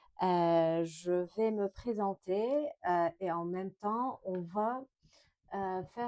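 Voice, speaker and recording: Very slowly, a woman speaks at a medium pitch with a dark, mellow tone. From Lebanon. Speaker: French teacher and craft vlogger. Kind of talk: casual vlog tutorial. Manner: hesitant, many fillers.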